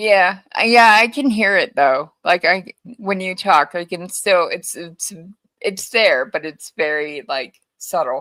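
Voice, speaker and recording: A woman with a slight Hawaiian accent speaks at a very slow pace in a bright, sharp tone. Her intonation is lively. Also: medium pitch for a woman. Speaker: co-host of true crime stream. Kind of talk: casual chat.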